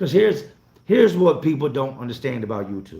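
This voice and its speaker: A somewhat breathy man in an animated tone. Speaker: YouTuber, home renovation contractor. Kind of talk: live stream chat. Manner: casual, animated.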